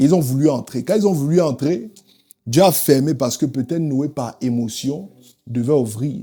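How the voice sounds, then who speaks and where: A man's dark, mellow voice, fairly high in pitch, with an African accent and a moderate pace. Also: ordinary pitch variation. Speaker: preacher. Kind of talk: sermon.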